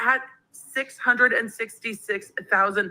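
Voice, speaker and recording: A woman shouts loudly with an American accent. Her tone is bright and sharp. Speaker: livestream host. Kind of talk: casual chat. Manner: loud, yelling.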